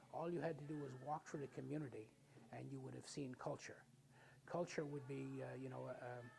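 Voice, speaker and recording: Someone speaks with a Newfoundland accent. The pace is fairly quick. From Newfoundland, Canada. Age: 70s. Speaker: Mi'kmaq community elder. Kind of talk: documentary interview.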